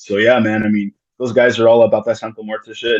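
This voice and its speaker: A man is speaking. His pace is very fast. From US, Chicano of Mexican and Salvadoran descent. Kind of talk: casual interview chat. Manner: casual, halting with many repetitions.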